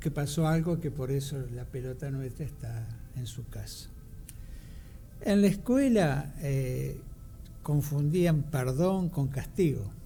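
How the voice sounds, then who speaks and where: A man speaks at a very slow pace with long, frequent pauses, his voice fairly high, somewhat breathy and dark and mellow in tone, with ordinary pitch variation. Audible echo fills the room. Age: 70s. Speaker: radio co-host. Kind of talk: radio discussion.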